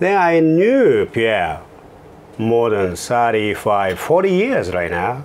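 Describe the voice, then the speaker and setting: With a non-native accent, the voice moves through very wide pitch swings at a very slow pace, and audible room echo surrounds it. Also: man. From Japan, Kobe area. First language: Japanese. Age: 50s. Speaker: fashion entrepreneur. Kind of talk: interview. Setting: office studio.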